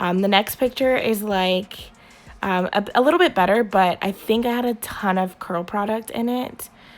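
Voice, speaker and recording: With music in the background, a woman talks at a moderate pace in a medium pitch with ordinary pitch variation. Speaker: beauty vlogger. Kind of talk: product review vlog. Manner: casual, many filler ums.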